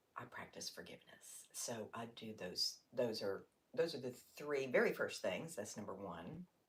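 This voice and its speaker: A woman's loudness rises and falls sharply while she keeps a moderate pace. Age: 60s. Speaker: yoga teacher. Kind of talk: casual livestream talk to camera.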